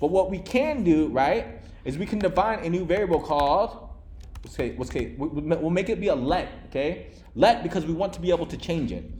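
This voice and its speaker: A man's high pitch at a fairly quick pace, with ordinary pitch variation and audible room echo. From Vietnam. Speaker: programming instructor. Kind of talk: live coding lecture to a class. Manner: fast; casual, filler-heavy.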